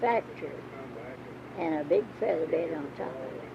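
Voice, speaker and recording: A woman speaks at a fairly low pitch while noticeable noise runs in the background. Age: 80s+. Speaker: grandmother recalling rural life. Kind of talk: interview answer, reminiscing about old ways of life.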